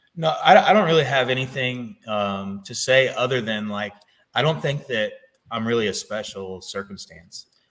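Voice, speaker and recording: Using a plain, everyday voice, a man with an American accent and medium pitch talks at a moderate pace with lively intonation and big swings in loudness. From US Midwest. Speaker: Marine veteran and knife company owner. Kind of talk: interview. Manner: casual, filler-heavy.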